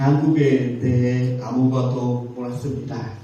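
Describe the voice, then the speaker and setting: A man speaks at a very slow pace in a Cambodian accent. Noticeable background noise and audible room echo surround his voice. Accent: Cambodian-accented Korean. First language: Khmer (speaking Korean). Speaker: missionary teacher. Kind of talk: sermon. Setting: church. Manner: halting, with filler sounds.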